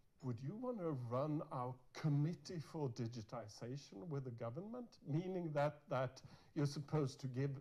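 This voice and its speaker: With a Norwegian accent, a somewhat breathy man with a dark, mellow tone speaks at a moderate pace with ordinary pitch variation. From Norway. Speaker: university dean and researcher. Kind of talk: conference keynote talk. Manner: halting, many repetitions.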